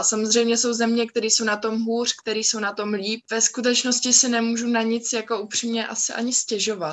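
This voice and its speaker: A woman talks at a moderate pace, fairly high in pitch. Her intonation stays flat and monotone. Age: young. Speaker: art history student. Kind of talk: group discussion.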